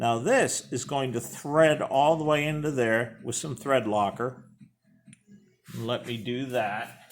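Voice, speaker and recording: The man's speech is very slow, and his pitch varies in an ordinary way. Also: medium pitch for a man. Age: 60s. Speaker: hobbyist machinist. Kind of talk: workshop tutorial. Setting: workshop. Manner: casual.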